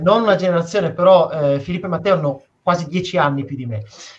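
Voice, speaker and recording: This is a man speaking. His pitch sits high. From Piedmont, northern Italy. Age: 20s. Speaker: astrophysicist and science communicator. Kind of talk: interview on a live stream.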